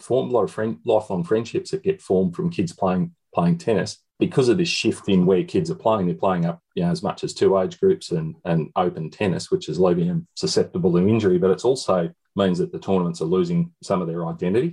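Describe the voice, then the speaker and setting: A man with an Australian accent talks at a very fast pace with hardly any pauses. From Shepparton, regional Victoria, Australia. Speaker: country tennis parent and organiser. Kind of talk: panel discussion.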